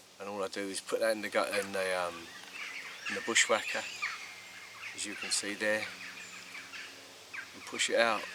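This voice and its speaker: The speaker has an English accent and leaves long, frequent pauses. Loudness swings widely, and background noise is noticeable. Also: man, moderate pace. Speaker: angling vlogger. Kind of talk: casual vlog narration. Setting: outdoors by a lake. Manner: quiet, hesitant with many ums.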